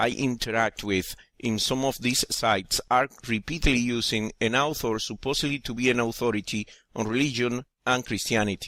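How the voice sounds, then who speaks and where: In a Spanish accent, a man speaks at a moderate pace and medium pitch with ordinary pitch variation, captured in a very clean recording with a silent background and a dry, close sound with no echo. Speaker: atheist video essayist. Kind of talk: scripted narration.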